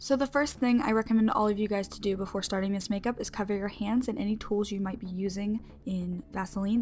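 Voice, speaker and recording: A woman speaks very fast in a somewhat breathy voice of medium pitch. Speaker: beauty YouTuber. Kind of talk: makeup tutorial. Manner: animated.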